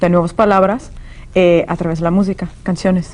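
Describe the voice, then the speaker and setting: This is a woman speaking. Her voice sits at a fairly low pitch. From California, US (born in Soviet Union). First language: Russian (speaking Spanish). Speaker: author and language teacher. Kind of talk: interview.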